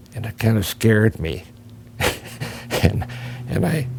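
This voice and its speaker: A man with an American accent talks amid noticeable background noise. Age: 80s+. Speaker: war veteran. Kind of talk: interview. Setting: on camera, seated. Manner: halting.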